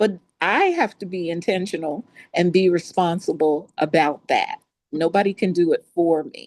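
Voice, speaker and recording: A woman with a plain, everyday voice talks at a moderate pace with fairly even intonation over a quiet background. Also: fairly low pitch for a woman. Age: 60s. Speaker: podcast guest. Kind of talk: casual podcast conversation.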